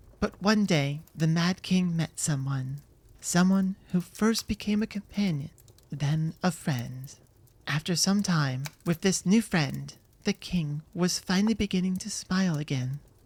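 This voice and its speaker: A woman's fairly low, somewhat breathy voice with a gentle tone, ordinary pitch variation and a fairly slow pace. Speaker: ASMR voice actor. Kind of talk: bedtime story telling. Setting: home studio. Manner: soft-spoken, gentle.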